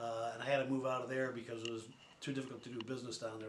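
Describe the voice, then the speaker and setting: A man speaks in a monotone with flat intonation, with audible room echo and noticeable background noise. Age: 60s. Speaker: newspaper publisher. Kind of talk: documentary interview. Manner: halting, many fillers.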